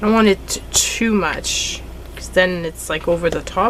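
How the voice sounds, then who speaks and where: With a Quebec accent, a woman talks at a fairly slow pace. Noticeable background noise runs underneath. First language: French. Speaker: craft YouTuber. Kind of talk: crafting tutorial. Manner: casual, chatty.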